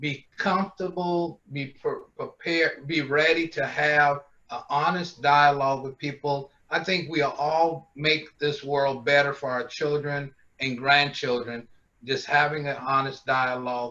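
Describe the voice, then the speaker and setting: Bright and sharp in tone, a man speaks at a fairly high pitch. His pace is fairly slow. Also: fairly even intonation. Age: 60s. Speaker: panelist. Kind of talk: panel discussion.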